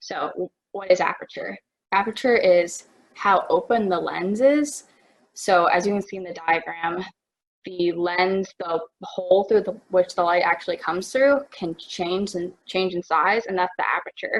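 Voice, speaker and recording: A woman's voice at a fairly slow pace, with ordinary pitch variation. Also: medium pitch for a woman. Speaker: student photography instructor. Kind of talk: tutorial webinar. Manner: hesitant with many fillers.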